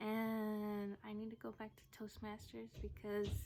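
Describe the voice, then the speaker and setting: A soft-spoken woman talks at a fairly high pitch. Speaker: vlogger and poet. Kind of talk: casual vlog talk. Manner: halting.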